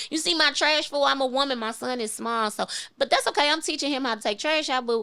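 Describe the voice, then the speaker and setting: In an American accent, a woman speaks very fast in a raised, projected voice, high-pitched with a bright, sharp, animated tone and lively intonation. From St. Louis, Missouri (west side). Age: 40s. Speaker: comedian. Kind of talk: casual chat.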